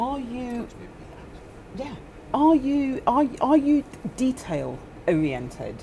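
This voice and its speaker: Over noticeable background noise, a woman with a high pitch and lively intonation speaks at a very slow pace, with long, frequent pauses and big swings in loudness. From northern England. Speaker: property investor panelist. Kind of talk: panel discussion. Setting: seminar room with audience.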